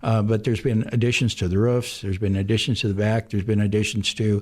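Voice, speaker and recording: A man's medium-pitched, somewhat breathy voice with an American accent, on a very clean recording with a silent background. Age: 70s. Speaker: bar owner. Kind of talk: radio interview. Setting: radio studio.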